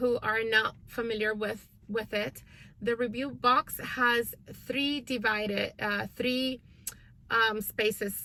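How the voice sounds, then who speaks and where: A woman's bright, sharp voice, fairly high in pitch, at a very slow pace with fairly even intonation. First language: not English. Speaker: homeschooling parent and channel host. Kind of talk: casual vlog update. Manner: hesitant, many fillers.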